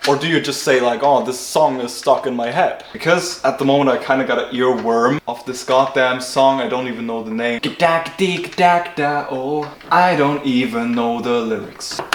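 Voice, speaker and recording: In an enthusiastic tone with a German accent, the speaker goes at a moderate pace with hardly any pauses and ordinary pitch variation, amid noticeable background noise and audible room echo. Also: man, medium pitch for a man. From Germany. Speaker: car builder YouTuber. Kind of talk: casual vlog narration. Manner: casual, enthusiastic.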